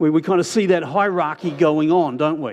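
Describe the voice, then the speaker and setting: A man talks at a moderate pace in an unremarkable speaking voice with ordinary pitch variation. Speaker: pastor. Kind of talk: sermon.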